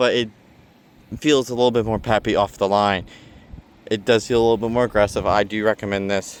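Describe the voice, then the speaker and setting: This man talks at a fairly quick pace with fairly even intonation. His speech has long, frequent pauses. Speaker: car enthusiast vlogger. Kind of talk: DIY tutorial vlog. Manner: halting, self-correcting; casual.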